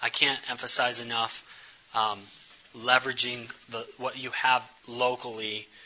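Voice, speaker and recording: Noticeable background noise runs behind a man speaking in a flat monotone. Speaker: speaker on community development and missions. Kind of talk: presentation with slides. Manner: fast.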